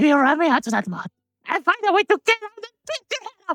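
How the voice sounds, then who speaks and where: An extremely high, put-on character voice races along at a very fast pace. Its pitch swings very widely. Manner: angry but not threatening.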